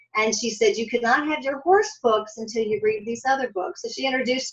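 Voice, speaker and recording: A woman uses a normal speaking voice with an American accent. She talks at a fairly quick pace with ordinary pitch variation. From US Midwest, Columbus, Ohio. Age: 60s. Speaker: author. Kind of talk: interview.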